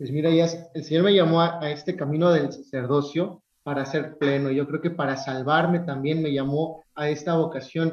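Hardly pausing, a man talks at a fairly high pitch. His intonation is monotone and flat. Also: moderate pace. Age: 30s. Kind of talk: casual interview.

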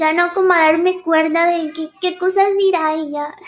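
The woman's pitch is extremely high. She talks at a very slow pace. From Ecuador. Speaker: streamer and VTuber. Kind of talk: casual chat.

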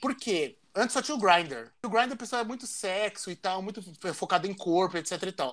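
This man talks at a fairly quick pace with lively intonation and a high pitch for a man. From São Paulo, Brazil. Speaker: podcast co-host. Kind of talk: casual chat.

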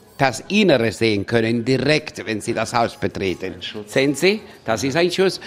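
Here a man has lively intonation and a medium pitch. He keeps a moderate pace. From Spain, Andalusia. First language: Spanish (speaking German). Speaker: tour guide. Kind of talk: guided tour. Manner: animated.

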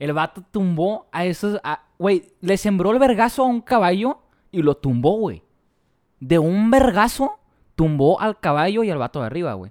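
A man speaks in a high pitch with very wide pitch swings. His pace is moderate, and the sound is dry and close with no echo. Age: 20s. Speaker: podcast co-host. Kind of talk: casual chat.

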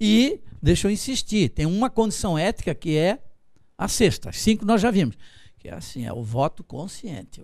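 Over a very clean recording with a silent background, a man speaks at a moderate pace and high pitch, with very wide pitch swings and big swings in loudness. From Santa Catarina, Brazil (Florianópolis from age five). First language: German (speaking Portuguese). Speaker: law professor and political analyst. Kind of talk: interview. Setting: TV studio, broadcast live.

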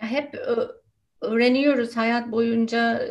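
A woman with an English accent, fairly high-pitched, at a very slow pace. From United States. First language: English (speaking Turkish). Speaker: nonviolent communication trainer. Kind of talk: casual interview.

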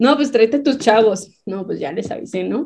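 Speaking at a moderate pace, the woman has a fairly high voice. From Baja California, Mexico. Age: young. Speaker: basketball coach and sports entrepreneur. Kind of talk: casual interview.

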